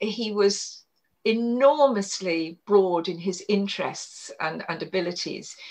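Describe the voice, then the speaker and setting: With a southern English accent, a woman speaks at a fairly slow pace in a medium pitch, her pitch varying in an ordinary way. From Kent, southeast England. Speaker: historian and author. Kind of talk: interview.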